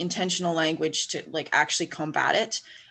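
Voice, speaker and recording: A woman with a Western Canadian accent speaks at a moderate pace. Her pitch is fairly low, and the background is quiet. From Western Canada. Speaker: academic researcher. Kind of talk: panel discussion.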